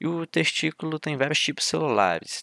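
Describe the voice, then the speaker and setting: The man's bright, sharp tone comes through in a dry, close sound with no echo. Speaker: university student tutor. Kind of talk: lecture. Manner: fast.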